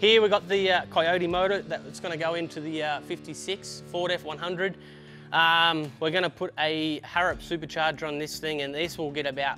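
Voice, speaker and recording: Faint music plays in the background as a man speaks at a moderate pace with fairly even intonation. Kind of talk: casual tour commentary. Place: garage.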